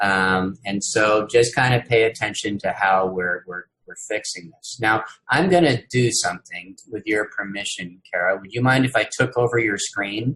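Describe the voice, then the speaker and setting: A man talks with a bright, sharp tone and a fairly low pitch. His loudness swings widely from moment to moment. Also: ordinary pitch variation. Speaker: university instructor. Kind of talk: lecture. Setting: video call. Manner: slow.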